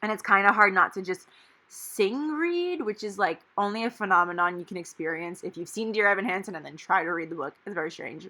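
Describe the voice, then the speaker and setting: A bright, sharp tone at a fairly quick pace, with ordinary pitch variation, big swings in loudness and a very clean recording over a silent background. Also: woman, medium pitch for a woman. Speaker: planner vlogger. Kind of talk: casual tutorial narration. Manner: stumbling over words.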